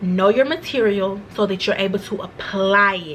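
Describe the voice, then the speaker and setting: A woman's medium-pitched, animated voice against noticeable background noise. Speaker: vlogger, former nursing student. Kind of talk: casual vlog monologue. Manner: fast.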